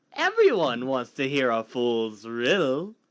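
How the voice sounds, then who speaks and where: Someone uses a put-on character voice with a low-to-middle pitch at a fairly slow pace. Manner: mocking, sly.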